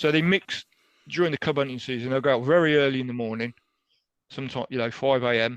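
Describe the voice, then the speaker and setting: A man speaks in an English accent with ordinary pitch variation. The sound is dry and close with no echo, over a quiet background. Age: 60s. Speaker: animal rights activist. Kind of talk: interview.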